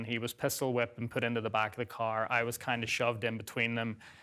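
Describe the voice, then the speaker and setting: A man with an Irish accent speaks at medium pitch in a bright, sharp tone on a very clean recording with a silent background. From Northern Ireland. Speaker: guest sharing life story. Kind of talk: interview testimony.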